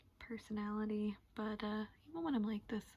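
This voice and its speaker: A woman speaks softly at a fairly high pitch. Noticeable background noise runs underneath. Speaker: beauty vlogger. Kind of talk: makeup tutorial chat. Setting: sitting on her floor at home. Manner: soft-spoken.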